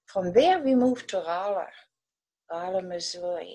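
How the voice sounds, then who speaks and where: Recorded very cleanly against a silent background, a woman with a German accent speaks at a fairly slow pace and a medium pitch. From Germany, West Berlin. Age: 80s+. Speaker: war-era childhood witness. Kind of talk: personal testimony.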